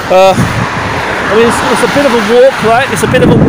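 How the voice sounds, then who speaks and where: A man's voice sounds dry with no echo, over loud background noise. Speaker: vlogger. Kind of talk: casual vlog chat. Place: street. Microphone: phone near.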